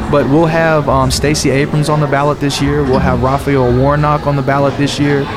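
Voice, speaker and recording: A man with a fairly high voice and an American accent, fairly quick with hardly any pauses, monotone and flat, at very even loudness, amid audible room echo and noticeable background noise. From US South, DeKalb County, Georgia. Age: 30s. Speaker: candidate's son. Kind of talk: interview.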